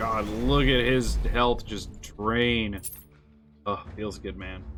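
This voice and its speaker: Over audible room echo, a man speaks very slowly at a fairly low pitch, with ordinary pitch variation and big swings in loudness. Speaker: gaming streamer. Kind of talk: live gameplay stream chat. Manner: occasional stutter mid-sentence; casual, conversational.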